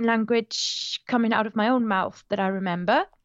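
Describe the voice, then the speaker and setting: A woman with a German accent speaks at a moderate pace, fairly high in pitch and with ordinary pitch variation. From Germany, Moselle Valley. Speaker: language tutor and podcaster. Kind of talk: interview conversation. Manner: animated.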